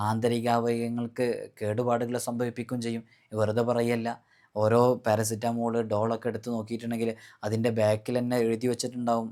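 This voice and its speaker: In a very clean recording with a silent background, a man speaks at a medium pitch with a dark, mellow tone and monotone, flat intonation. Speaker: Islamic spiritual teacher. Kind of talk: religious instruction talk. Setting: recorded video.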